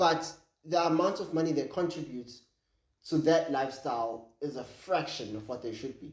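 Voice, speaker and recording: A man speaks in a fairly high pitch with big swings in loudness. Audible room echo surrounds his voice. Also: ordinary pitch variation, moderate pace. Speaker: podcast co-host. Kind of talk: casual chat. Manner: halting.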